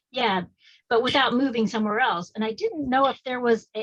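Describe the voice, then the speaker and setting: A woman's fairly quick speech with ordinary pitch variation. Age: 60s. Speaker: audience member asking a question. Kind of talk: Q&A question at online community meeting. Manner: halting.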